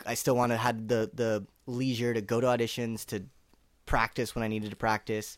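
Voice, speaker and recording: Delivery is fairly quick, with a Californian accent. The intonation stays monotone and flat throughout. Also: man, medium pitch for a man, very clean recording, silent background. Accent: General American (California). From Northern California. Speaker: actor. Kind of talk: casual chat.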